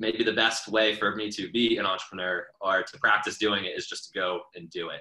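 A man's unremarkable speaking voice, fairly low in pitch, with an American accent, fairly even intonation and a moderate pace. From US South, Atlanta. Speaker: startup co-founder and CEO. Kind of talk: casual interview.

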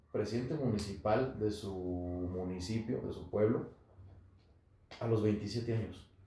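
In a room with audible echo, a man with a fairly low pitch speaks very slowly, with long, frequent pauses and ordinary pitch variation. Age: 30s. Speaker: politician. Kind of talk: podcast interview.

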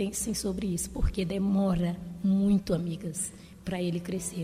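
A woman's medium-pitched voice, monotone and flat in intonation, at a fairly slow pace. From Maranhão, Brazil. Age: 50s. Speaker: retired teacher. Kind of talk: interview conversation.

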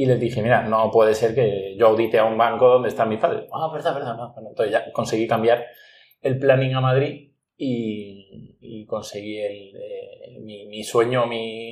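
With an ordinary speaking voice, a man talks at a moderate pace and medium pitch, his loudness swinging widely while his intonation stays fairly even. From Andalusia, Spain (Ronda, Málaga). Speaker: headhunter, entrepreneur. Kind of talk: interview.

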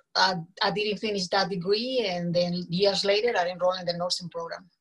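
With a Colombian accent, a woman speaks at a medium pitch and a moderate pace. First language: Spanish. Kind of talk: casual interview chat. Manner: animated, energetic.

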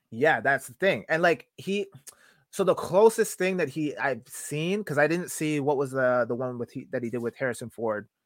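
In an ordinary speaking voice, a man speaks at a moderate pace with a fairly high pitch and lively intonation, on a very clean recording with a silent background. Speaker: podcast host. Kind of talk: casual banter.

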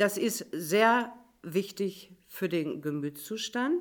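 A woman speaks with lively intonation. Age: 60s. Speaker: volunteer homework helper. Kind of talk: casual panel chat.

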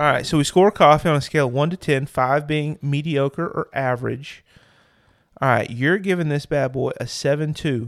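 A man with a normal speaking voice, fairly high in pitch, at a moderate pace with ordinary pitch variation. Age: 30s. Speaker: podcast co-host, counselor. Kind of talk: casual chat.

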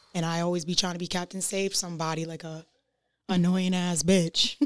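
Speaking at a fairly quick pace, a woman with an American accent has a fairly low pitch, on a very clean recording with a silent background. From Rhode Island, US (North Providence). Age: 20s. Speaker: musical artist. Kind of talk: casual chat.

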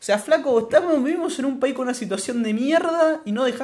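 A man with a Rioplatense accent speaks at a very fast pace with very wide pitch swings. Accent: Argentine Rioplatense Spanish. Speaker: podcast co-host. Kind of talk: casual chat.

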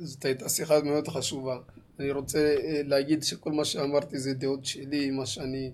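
A man talks fairly slowly at a fairly high pitch. His intonation is monotone and flat. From Israel, Ethiopian community. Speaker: cook and community show host. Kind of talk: casual chat. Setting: studio.

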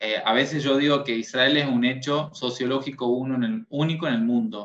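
A man speaks at a moderate pace and a medium pitch. He has an ordinary speaking voice. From Tucumán, northern Argentina. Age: 20s. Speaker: psychologist and educator. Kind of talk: casual interview.

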